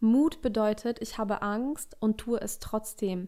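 A woman speaks in a fairly high voice. The recording is very clean, with a silent background. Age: 20s. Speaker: life coach. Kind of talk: solo podcast monologue.

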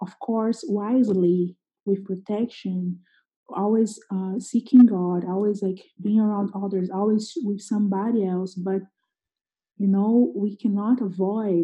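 A woman talks at a fairly slow pace in a somewhat breathy voice, with a Portuguese accent. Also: medium pitch for a woman, fairly even intonation. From Brazil, Sao Paulo. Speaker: missionary. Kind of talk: casual interview.

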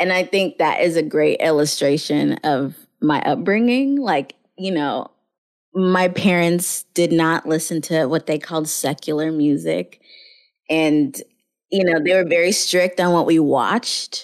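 At a fairly slow pace, a woman with an unremarkable speaking voice talks at fairly low pitch with ordinary pitch variation and very even loudness on a very clean recording with a silent background. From US South (Houston, Kenyan immigrant family). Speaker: nonprofit fundraiser. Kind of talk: interview.

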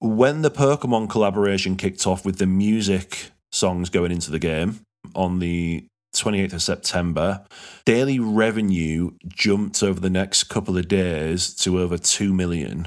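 In a very clean recording with a silent background, a man with a Yorkshire accent speaks in a very deep, low pitch with ordinary pitch variation. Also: moderate pace. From Yorkshire, England. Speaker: podcast host. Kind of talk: casual podcast chat.

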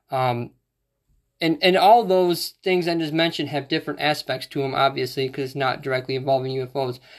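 Against a quiet background, a man with an unremarkable speaking voice talks at a fairly quick pace, fairly high in pitch with ordinary pitch variation. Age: 30s. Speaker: podcast host. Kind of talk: casual chat.

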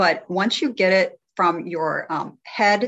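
A woman has an unremarkable speaking voice at a medium pitch. Her pitch varies in an ordinary way. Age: 60s. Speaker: health coach. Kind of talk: casual chat.

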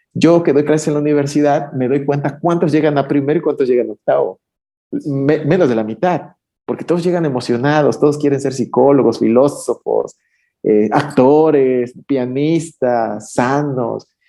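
A man speaks at a fairly high pitch in a dark, mellow tone. His pace is fairly slow, with ordinary pitch variation over a quiet background. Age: 40s. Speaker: psychoanalyst. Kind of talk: casual interview conversation.

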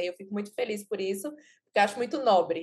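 A woman talks at a fairly quick pace in an ordinary speaking voice, with ordinary pitch variation. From Pernambuco interior, Brazil. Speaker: journalist and content creator. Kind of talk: podcast interview.

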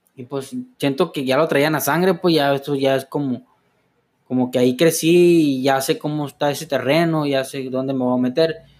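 Against a very clean recording with a silent background, a man with an unremarkable speaking voice talks at a moderate pace and fairly high pitch with fairly even intonation. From Los Mochis, Sinaloa, Mexico. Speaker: clinic administrative assistant, recovering addict. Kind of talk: testimony. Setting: studio.

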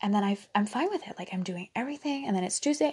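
Soft-spoken and relaxed, a woman talks at a medium pitch with ordinary pitch variation. Her tone is dark, mellow and somewhat breathy. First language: Dutch. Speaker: mental health podcaster. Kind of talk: solo podcast monologue. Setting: at home late at night.

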